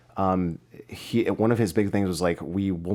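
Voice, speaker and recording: Mumbling in a flat monotone, a man speaks with a very deep, low pitch. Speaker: musician. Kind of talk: casual chat.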